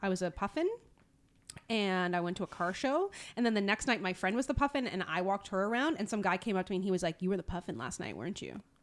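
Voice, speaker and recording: A woman with a sing-song, animated tone, lively intonation and a very fast pace, on a very clean recording with a silent background. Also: medium pitch for a woman. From Newfoundland, Canada. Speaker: podcast co-host. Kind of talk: casual chat between co-hosts. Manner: animated, sing-songy.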